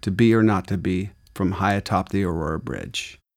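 With an American accent, a man speaks in a plain, everyday voice at fairly low pitch. His pace is moderate, and the recording is very clean with a silent background. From Arizona. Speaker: audiobook narrator reading memoir. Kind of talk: reading aloud.

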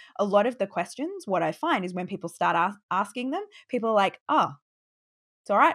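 A woman speaks at a fairly quick pace in a plain, everyday voice with lively intonation. The recording is very clean with a silent background. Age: 30s. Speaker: business founder and online course coach. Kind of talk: interview.

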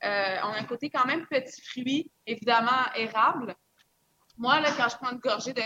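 In a Quebec accent, a woman speaks in a high, bright and sharp voice with fairly even intonation. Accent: Québécois French. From Quebec, small village. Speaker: mixologist. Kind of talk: casual interview with tasting.

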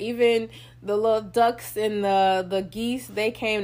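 The woman's pitch sits in the middle range for a woman. The recording is very clean, with a silent background. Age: 30s. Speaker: podcast host. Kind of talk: casual monologue. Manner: casual, many filler ums.

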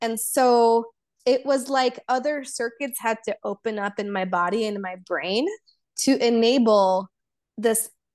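A woman talks at a fairly high pitch with ordinary pitch variation. The background is quiet. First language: Polish. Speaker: embodiment coach. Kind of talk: casual interview chat.

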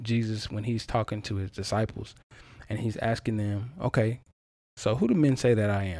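On a very clean recording with a silent background, a man with a medium pitch speaks at a moderate pace. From US South, eastern North Carolina. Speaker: podcast host. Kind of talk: personal testimony monologue. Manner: casual, conversational.

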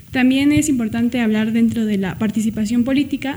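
Against noticeable background noise, a woman with a fairly high pitch talks at a moderate pace with fairly even intonation. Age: 20s. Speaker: law student, party youth member. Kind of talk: radio interview.

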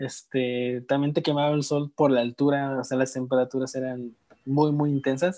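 A man's dark, mellow tone carries his words along at a moderate speed. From Mexico, Guerrero (Tixtla). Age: 20s. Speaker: former volunteer abroad. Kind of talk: casual interview.

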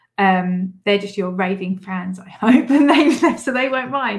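Recorded very cleanly over a silent background, a woman with a British accent speaks in a somewhat breathy voice with ordinary pitch variation. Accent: British English, noticeable. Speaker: podcast host and business coach. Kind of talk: solo podcast monologue, tips episode. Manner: animated, upbeat, laughs often.

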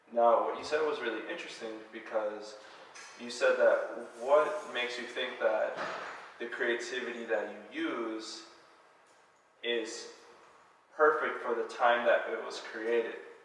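Speaking at a fairly slow pace, a man leaves long, frequent pauses, with big swings in loudness and noticeable background noise behind him. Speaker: podcast host. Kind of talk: casual interview.

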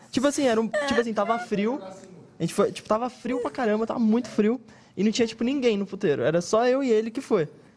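Noticeable background noise fills the clip. A man talks at a very fast pace with an extremely high pitch. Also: ordinary pitch variation. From Brazil. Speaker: comedian. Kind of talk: casual chat.

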